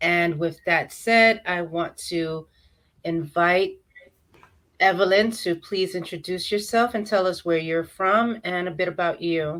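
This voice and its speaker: With an American accent, a woman with a plain, everyday voice talks at a fairly slow pace. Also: fairly low pitch for a woman, fairly even intonation. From New York. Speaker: interview host. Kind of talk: interview.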